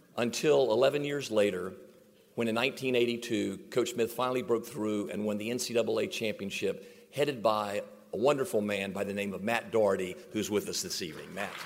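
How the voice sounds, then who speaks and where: A man uses an unremarkable speaking voice at medium pitch and a moderate pace. His intonation is lively. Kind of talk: heartfelt faith-tinged acceptance speech. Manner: warm, sincere, preacherly.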